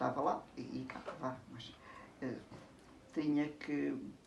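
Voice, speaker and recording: A woman speaks very slowly at a very deep, low pitch, with audible room echo and noticeable background noise. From Portugal, Alentejo (Elvas). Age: 70s. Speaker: interviewee recalling her past. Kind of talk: casual interview. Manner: halting.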